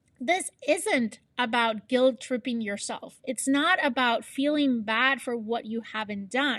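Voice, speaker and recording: Against a quiet background, a woman with a non-native accent speaks very slowly in a high voice with ordinary pitch variation. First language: not English. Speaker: podcast host, HR professional and fitness coach. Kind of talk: solo motivational podcast.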